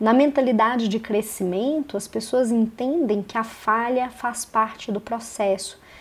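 A woman with a plain, everyday voice talks in a fairly high pitch using fairly even intonation. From Belo Horizonte, Minas Gerais, Brazil. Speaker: podcast host. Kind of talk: solo podcast monologue. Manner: casual, with frequent fillers.

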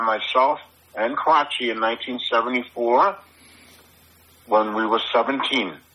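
Speaking with a New York accent, a man has a medium pitch and ordinary pitch variation. His pace is moderate, with long, frequent pauses and noticeable background noise. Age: 60s. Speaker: graffiti artist and musician. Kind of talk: casual interview chat. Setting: phone call. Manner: blunt, confident.

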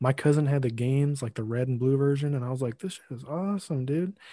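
Somewhat breathy man with a fairly high pitch and dark, mellow tone, fairly quick pace, ordinary pitch variation, and a dry, close sound with no echo against a quiet background. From US Midwest, Lincoln, Illinois. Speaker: podcast editor and co-host. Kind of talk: casual chat.

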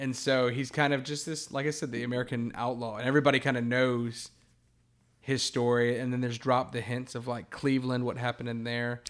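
Very clean and silent in the background, this recording has a man speaking at a medium pitch and fairly quick pace. His intonation is monotone and flat. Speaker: co-host. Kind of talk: casual chat, movie discussion.

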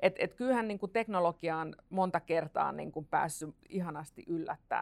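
Here is a woman with a plain, everyday voice. She uses ordinary pitch variation at a moderate pace. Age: 40s. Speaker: futurist. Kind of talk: panel discussion.

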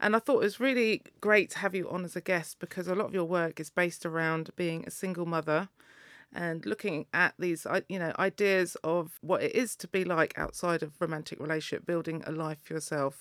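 At a fairly quick pace, a woman with an English accent speaks in a fairly low pitch with ordinary pitch variation, recorded dry and close with no echo on a very clean track with a silent background. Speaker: podcast host and DJ. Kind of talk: interview. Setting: studio.

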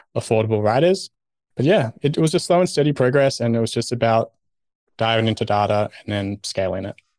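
In an unremarkable speaking voice, a man talks at a fairly quick pace with medium pitch and ordinary pitch variation, the sound dry and close with no echo against a quiet background. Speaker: blogger and designer. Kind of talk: casual interview chat.

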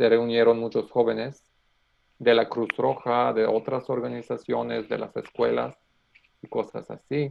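Speaking at a fairly slow pace, a man talks with a Macedonian accent. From North Macedonia. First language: Macedonian (speaking Spanish). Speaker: economist and youth worker. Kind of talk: casual interview. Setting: video call. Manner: halting.

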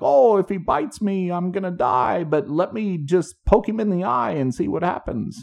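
Using a put-on character voice, a man talks at a high pitch and moderate pace with hardly any pauses. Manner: reckless, joking.

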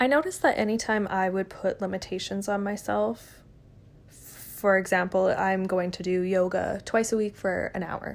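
A woman speaks in a plain, everyday voice at medium pitch. Her pace is moderate and her intonation fairly even. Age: 20s. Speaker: podcast host. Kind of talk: solo monologue podcast.

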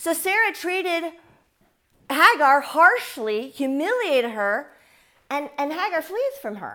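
Extremely high in pitch, a woman uses a raised, projected voice with very wide pitch swings and big swings in loudness. She speaks at a fairly slow pace with long, frequent pauses. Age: 50s. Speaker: Bible teacher. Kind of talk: bible teaching. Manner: animated.

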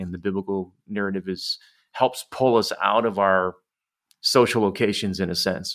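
Fairly slow and fairly even in intonation, the speaker talks with an American accent. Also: man. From Detroit, US Midwest. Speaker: church leader and author. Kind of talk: casual chat.

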